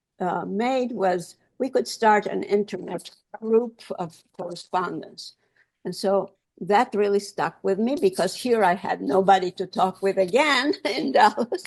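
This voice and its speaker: A woman speaks at a fairly slow pace with medium pitch. Her pitch varies in an ordinary way. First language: Ladino. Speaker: Ladino language activist. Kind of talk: panel discussion. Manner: halting, many fillers.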